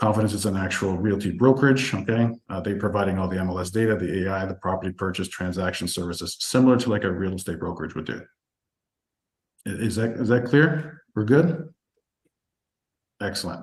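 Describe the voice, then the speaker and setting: A man talks at a fairly quick pace with a fairly low pitch and ordinary pitch variation. His voice is somewhat breathy. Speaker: real estate investing coach presenting a webinar. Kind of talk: webinar product presentation. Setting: online group call. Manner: fast.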